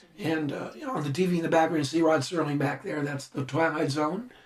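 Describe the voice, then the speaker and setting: The speaker is a man with a fairly high pitch. Noticeable background noise is present. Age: 50s. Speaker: visual effects supervisor. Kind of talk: commentary track.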